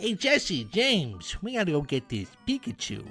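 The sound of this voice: Pitched in the middle range, a put-on character voice leaps through very wide pitch swings. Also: moderate pace.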